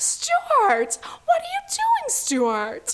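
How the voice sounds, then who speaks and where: In a put-on character voice, a woman speaks at an extremely high pitch with very wide pitch swings. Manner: scolding, exasperated.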